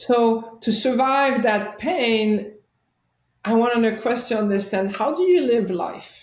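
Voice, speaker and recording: Someone with a French-Canadian accent speaks at a very slow pace, with audible room echo. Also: woman, fairly high pitch for a woman, ordinary pitch variation. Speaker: chiropractor and life coach. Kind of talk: interview storytelling.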